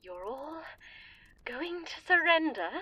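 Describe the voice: A put-on character voice speaks slowly, with a bright, sharp tone. Its pitch swings widely, and the sound is dry and close with no echo. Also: woman, high pitch for a woman.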